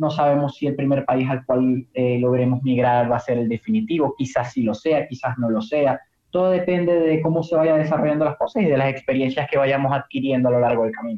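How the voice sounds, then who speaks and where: A man with an unremarkable speaking voice talks at a fairly quick pace with hardly any pauses. His pitch is fairly high with ordinary variation, and his loudness stays very even. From Venezuela, Maracaibo. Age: 20s. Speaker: prospective emigrant. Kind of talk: casual conversation.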